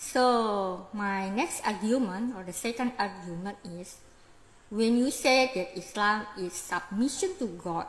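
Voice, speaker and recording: A woman with an Indonesian accent speaks at a fairly slow pace and a medium pitch, somewhat breathy, with ordinary pitch variation, big swings in loudness and audible room echo. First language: Indonesian regional language, not English. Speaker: religious commentator vlogger. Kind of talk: lecture-style monologue.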